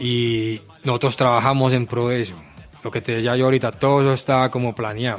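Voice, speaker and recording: A man talks at a fairly quick pace with a Medellín Colombian accent, medium pitch, and fairly even intonation. Noticeable background noise can be heard. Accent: Colombian paisa (Medellín) Spanish. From Colombia, Medellín (Aranjuez). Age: 30s. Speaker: rapper. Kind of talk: interview. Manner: casual, with hesitations and slang.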